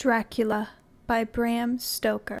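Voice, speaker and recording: At a very slow pace, a woman with a fairly high pitch speaks in a calm tone and monotone, flat intonation, on a very clean recording with a silent background. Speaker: narrator. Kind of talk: casual host intro. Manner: calm, relaxing.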